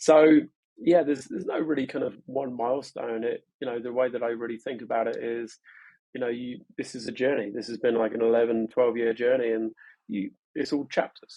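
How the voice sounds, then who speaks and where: Fairly even intonation in a London accent. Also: man, medium pitch for a man, fairly quick pace. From London, England. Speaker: startup co-founder. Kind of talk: podcast interview. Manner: hesitant, many fillers and repetitions.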